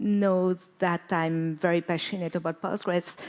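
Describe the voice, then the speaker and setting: A woman with a French accent, fairly slow in pace, on a very clean recording with a silent background. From France. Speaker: conference speaker, database expert. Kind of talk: conference talk. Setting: stage with audience.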